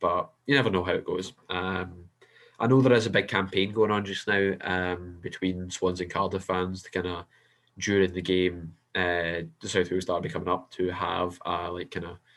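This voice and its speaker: A man with a Scottish accent and a very deep, low voice, at a moderate pace with fairly even intonation, in a very clean recording with a silent background. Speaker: football podcast co-host. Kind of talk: casual chat.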